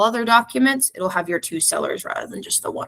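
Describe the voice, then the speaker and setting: A woman's voice has a bright, sharp tone and lively intonation. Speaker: real estate software trainer. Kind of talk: tutorial. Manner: fast.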